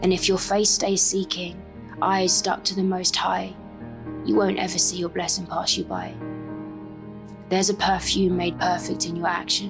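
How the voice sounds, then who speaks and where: Over background music, a woman with a fairly low pitch speaks at a moderate pace with lively intonation and long, frequent pauses. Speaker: spoken word poet. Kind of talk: spoken word poetry performance. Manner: passionate.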